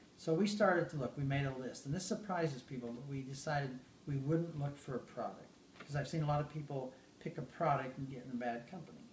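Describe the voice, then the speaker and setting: Amid audible room echo and noticeable background noise, a man with an American accent speaks at a very fast pace in a fairly high pitch. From Idaho, US. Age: 70s. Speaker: network marketing executive. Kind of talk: interview.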